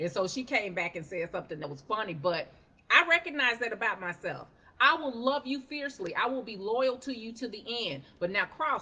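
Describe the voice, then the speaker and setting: A woman with a fairly high pitch talks at a fairly quick pace in an animated tone, her pitch swinging very widely and her loudness rising and falling sharply, with noticeable background noise behind her. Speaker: life coach. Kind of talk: motivational talk on a livestream. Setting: live stream.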